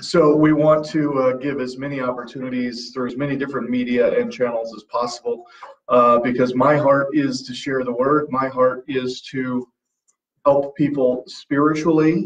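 A man speaks in a flat monotone. The background is quiet. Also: moderate pace. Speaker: Bible teacher. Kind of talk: announcements to a livestream audience. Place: office.

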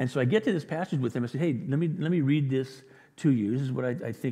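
A man speaks fast at medium pitch, with a dark, mellow tone, a slightly husky edge and ordinary pitch variation.

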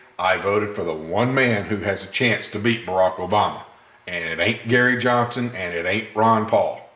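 A man speaks at a fairly low pitch with ordinary pitch variation. Room echo is audible. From US South, Gulfport, Mississippi. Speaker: gun video channel host. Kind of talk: casual vlog talk to camera. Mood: earnest, opinionated. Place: workshop. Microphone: camera far.

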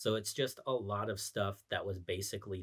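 A man's fairly low, somewhat breathy voice at a moderate pace, on a very clean recording with a silent background. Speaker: gaming video commentator. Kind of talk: casual talk to camera.

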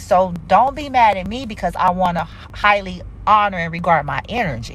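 Her lively intonation and animated tone come through alongside vocal fry as a woman speaks. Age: 40s. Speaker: spiritual reader and live streamer. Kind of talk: casual livestream talk. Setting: social media livestream. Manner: animated, conversational.

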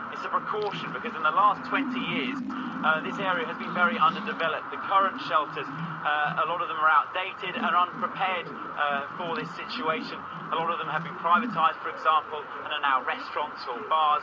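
A man's voice at a fairly quick pace with ordinary pitch variation, over noticeable background noise. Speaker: news correspondent. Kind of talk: news report answer. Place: street.

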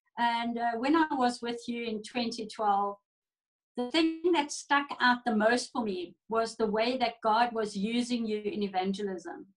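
Fairly slow, fairly high-pitched speech from a woman with ordinary pitch variation over music in the background. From South Africa. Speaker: church pastor. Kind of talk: fervent prayer, interceding aloud for the nations, with prophetic declarations; casual interview chat. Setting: video call. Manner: passionate, urgent, pleading, earnest. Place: home room. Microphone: video call.

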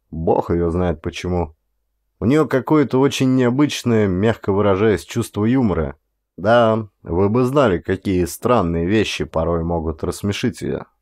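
The man speaks at a very slow pace, and the background is quiet. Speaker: audiobook reader, actor. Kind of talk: audiobook narration of a horror short story.

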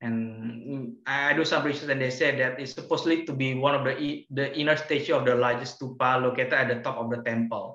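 With a bright, sharp tone and monotone, flat intonation, the speech moves at a fairly quick pace with hardly any pauses, over a quiet background with audible room echo. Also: man. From Yogyakarta, Indonesia. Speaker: virtual tour guide. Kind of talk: casual virtual tour presentation. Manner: hesitant, conversational. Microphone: video call.

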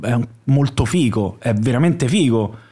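The man talks at a fairly slow pace. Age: 30s. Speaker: comedy writer and actor. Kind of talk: casual chat. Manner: halting. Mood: relaxed, joking. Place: studio. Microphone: studio mic.

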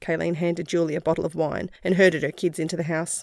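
A woman with an Australian accent, fairly low-pitched and fairly quick, in a very clean recording with a silent background. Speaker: audiobook narrator. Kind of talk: scripted narration, fiction audiobook reading. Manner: narrative reading that shifts into character voices.

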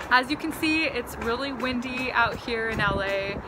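A woman speaks at a fairly slow pace with ordinary pitch variation over loud background noise. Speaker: tarot reader. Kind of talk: casual vlog chat. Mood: warm, upbeat. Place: garden. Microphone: phone near.

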